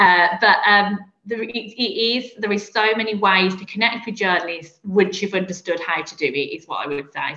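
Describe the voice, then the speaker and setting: Lively in intonation, a woman with a Birmingham accent speaks at a fairly quick pace. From Birmingham, England. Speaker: PR specialist. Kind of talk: casual interview chat.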